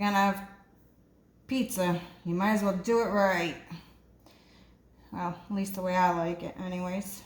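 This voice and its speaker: A woman speaks at a moderate pace with long, frequent pauses. Her voice is somewhat breathy, medium in pitch, with a monotone, flat intonation. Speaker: home cooking video host. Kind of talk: cooking tutorial. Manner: sometimes quiet, lowers voice; casual, hesitant with fillers.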